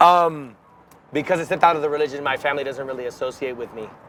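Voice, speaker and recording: A man talks very fast with fairly even intonation amid noticeable background noise. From Miami, Florida (Cuban-American). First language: Spanish. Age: 30s. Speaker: musician. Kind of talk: interview.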